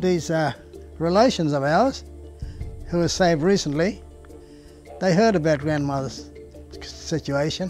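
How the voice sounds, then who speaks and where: A man with an Australian accent speaks at a fairly slow pace with long, frequent pauses. Faint music plays in the background, and the sound is dry with no echo. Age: 80s+. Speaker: retired Pentecostal pastor. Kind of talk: personal testimony interview. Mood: reflective, earnest storytelling. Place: garden. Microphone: lapel.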